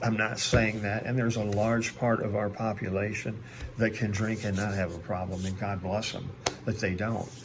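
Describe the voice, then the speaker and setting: Amid noticeable background noise and audible room echo, a man with an American accent speaks at a moderate pace in a fairly low, monotone, flat delivery. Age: 60s. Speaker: recovering alcoholic, video blogger. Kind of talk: personal video monologue. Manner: hesitant, many fillers.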